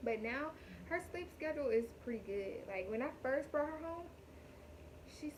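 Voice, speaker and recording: A woman talks here. Noticeable background noise is present throughout. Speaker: vlogger, new mother. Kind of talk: casual vlog talk to camera.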